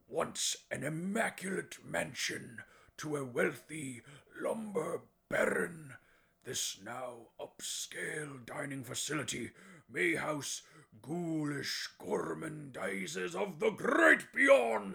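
Raspy and fairly high-pitched, a man speaks at a very slow pace. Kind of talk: campy spooky show-host narration. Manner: exasperated outburst; grandiose, theatrical, alliterative.

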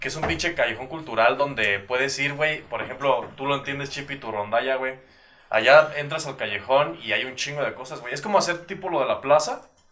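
This man talks at a fairly quick pace with a fairly high pitch and big swings in loudness. Noticeable background noise runs behind him. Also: ordinary pitch variation. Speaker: podcast co-host. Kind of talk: casual chat.

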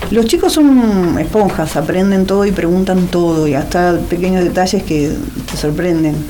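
The woman's loudness stays very even throughout. Noticeable background noise and audible room echo fill the recording. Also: medium pitch for a woman, ordinary pitch variation, moderate pace. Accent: Argentine. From Buenos Aires area, Argentina (Wilde, Avellaneda). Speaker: author and social sciences teacher. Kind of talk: interview.

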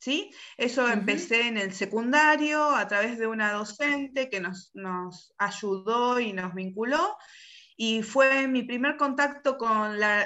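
A woman speaks very slowly in a fairly high pitch with ordinary pitch variation. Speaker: politician. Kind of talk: interview. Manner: halting.

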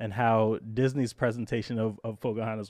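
A man talks in an unremarkable speaking voice at a medium pitch and a moderate pace. The background is quiet. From Brooklyn, New York. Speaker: podcast host and English teacher. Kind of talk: casual interview.

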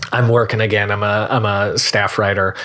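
Bright and sharp, a man's voice with an American accent, fairly slow, with fairly even intonation. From Central New Jersey (Marlboro). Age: 30s. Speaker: TV animation writer. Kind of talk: casual interview.

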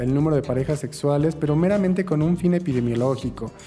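Noticeable background noise beneath a voice with ordinary pitch variation. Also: man. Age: 20s. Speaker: HIV activist. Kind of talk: interview testimony.

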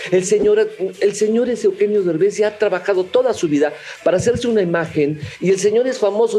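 Amid noticeable background noise, a man talks at a fairly quick pace with very wide pitch swings. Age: 50s. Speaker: voice actor. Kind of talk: heated debate.

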